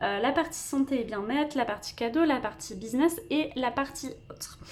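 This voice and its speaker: A woman's high-pitched voice with a dark, mellow tone, lively intonation and a fairly slow pace. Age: 20s. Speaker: budgeting vlogger. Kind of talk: personal finance vlog. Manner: hesitant, many fillers.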